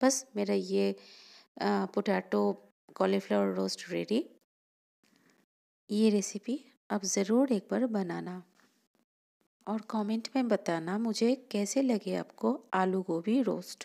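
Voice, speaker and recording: The recording is very clean with a silent background, capturing a woman who has a non-native accent. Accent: non-native Hindi. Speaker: home cook food vlogger. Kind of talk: cooking tutorial voice-over.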